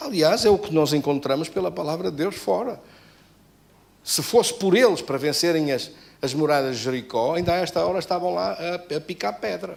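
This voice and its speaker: A fairly high-pitched man speaks with vocal fry and very wide pitch swings. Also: moderate pace. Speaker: pastor. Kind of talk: sermon.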